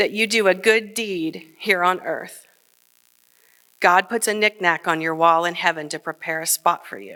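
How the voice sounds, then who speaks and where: In a very clean recording with a silent background, a woman with a Midwestern American accent speaks at a fairly slow pace, her tone bright and sharp and her pitch variation ordinary. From Kenton, Ohio. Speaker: journalist. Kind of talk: live personal storytelling on stage. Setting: stage before live audience.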